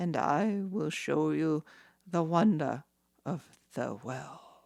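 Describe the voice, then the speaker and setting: Putting on a character voice, a woman speaks very slowly with a very deep, low pitch. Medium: read story.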